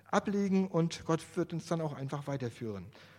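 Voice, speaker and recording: At a moderate pace, a man speaks in an ordinary speaking voice, fairly high in pitch, with lively intonation, on a very clean recording with a silent background. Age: 50s. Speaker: lay preacher. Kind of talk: sermon. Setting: church.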